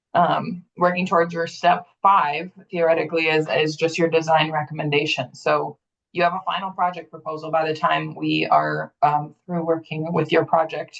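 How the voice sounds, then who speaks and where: With hardly any pauses, a woman talks at a moderate pace in a very deep, low, monotone voice marked by vocal fry. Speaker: grant program manager presenting a webinar. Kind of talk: webinar presentation.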